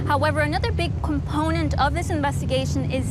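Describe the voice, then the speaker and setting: Noticeable background noise sits under speech that runs at a fairly quick pace. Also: woman. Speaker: TV news reporter. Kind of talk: TV news report.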